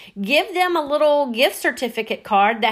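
Against noticeable background noise, a woman with a Southern US accent and a high voice makes very wide pitch swings at a moderate pace. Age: 50s. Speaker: podcast host. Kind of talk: casual monologue.

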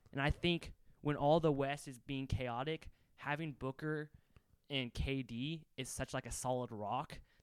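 A man with a normal speaking voice, fairly high in pitch, fairly even in intonation and fairly slow in pace, the sound dry and close with no echo. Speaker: podcast co-host. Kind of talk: casual chat. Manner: joking, playful.

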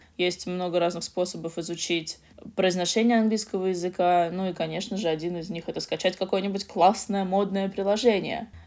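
An unremarkable speaking voice from a woman, medium in pitch, fairly even in intonation and at a fairly quick pace. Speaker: podcast co-host, English learning. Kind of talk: casual educational chat.

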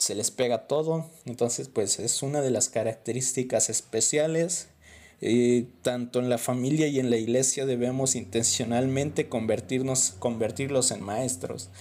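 This man speaks with a Mexican accent at medium pitch and a fairly slow pace. His pitch variation is ordinary, and the recording is very clean with a silent background. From Mexico. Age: 20s. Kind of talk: book review monologue. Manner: casual, conversational.

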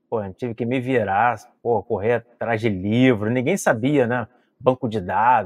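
A man speaks fairly slowly with a plain, everyday voice. His pitch is medium, with ordinary variation. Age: 40s. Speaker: civil police officer. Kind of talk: podcast interview. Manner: casual, slangy.

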